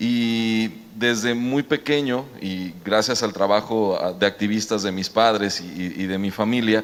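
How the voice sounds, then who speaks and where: At a fairly slow pace, a man speaks in a fairly low voice with fairly even intonation. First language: Mexican Sign Language (speaking Spanish). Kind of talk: panel discussion.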